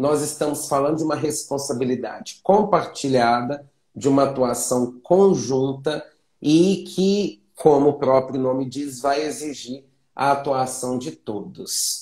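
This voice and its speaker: Very slowly and somewhat breathily, a man talks at a fairly high pitch with ordinary pitch variation. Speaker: teacher. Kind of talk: online class. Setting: live stream.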